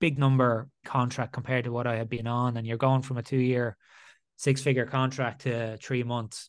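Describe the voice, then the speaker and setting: Against a quiet background, a man with an Irish accent speaks fairly quickly at a medium pitch, in a monotone, flat intonation. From Ireland. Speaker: former rugby player turned entrepreneur. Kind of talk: interview.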